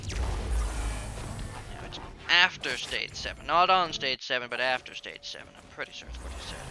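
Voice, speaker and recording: A man's loudness swings widely while music plays in the background. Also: moderate pace. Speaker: gaming video creator. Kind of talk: gameplay commentary. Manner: casual, chatty.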